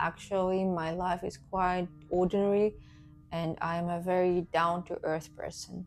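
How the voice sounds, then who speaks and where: A woman at a moderate pace with a non-native accent, music in the background. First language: Russian. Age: 30s. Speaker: vlogger. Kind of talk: casual vlog introduction. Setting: alone talking to camera. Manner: halting, with fillers and self-corrections.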